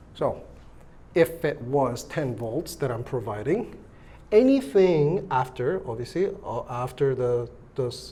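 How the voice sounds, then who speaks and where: Audible room echo surrounds a man whose somewhat breathy, dark, mellow voice sits at medium pitch, moving at a fairly slow pace with lively intonation. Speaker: electronics teacher. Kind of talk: lecture. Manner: casual, hesitant with fillers.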